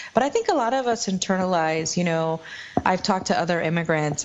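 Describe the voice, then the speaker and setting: Noticeable background noise sits behind this voice. A woman talks in a fairly low pitch with a Spanish accent. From Guatemala, moved to US at 10. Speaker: author and immigrant advocate. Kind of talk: podcast interview.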